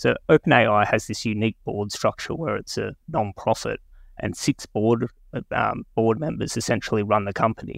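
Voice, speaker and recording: Vocal fry colors a voice at a moderate pace with ordinary pitch variation, captured dry and close with no echo on a very clean recording with a silent background. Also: man, medium pitch for a man. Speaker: equity analyst. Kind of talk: casual chat.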